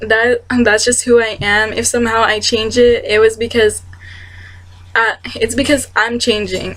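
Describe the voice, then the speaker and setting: A woman's fairly high voice at a fairly slow pace, with noticeable background noise. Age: 20s. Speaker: vlogger. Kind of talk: personal vlog monologue. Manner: sweet-talking; halting.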